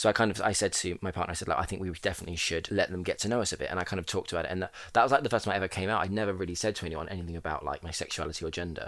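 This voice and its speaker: Over a silent background in a very clean recording, a man with a southern English accent races along at a very fast pace with hardly any pauses, his very deep, low voice keeping fairly even intonation. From Portsmouth, southern England. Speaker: drag queen. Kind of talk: casual chat.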